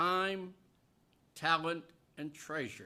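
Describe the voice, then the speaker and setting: A man speaks in a fairly high pitch with a bright, sharp tone. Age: 90s. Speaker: senior citizens' advocate testifying. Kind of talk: public hearing testimony.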